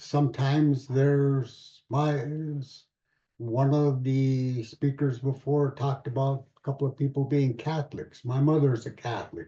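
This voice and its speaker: A man's dark, mellow, somewhat breathy voice moves at a fairly slow pace. His intonation is monotone and flat. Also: fairly high pitch for a man. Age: 80s+. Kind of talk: panel Q&A answer. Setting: video call. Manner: halting.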